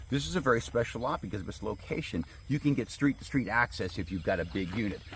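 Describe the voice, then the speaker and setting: The speaker rushes along very fast, with vocal fry. The pitch swings very widely. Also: man, fairly low pitch for a man. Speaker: land salesman. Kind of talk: property walkthrough video. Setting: outdoors.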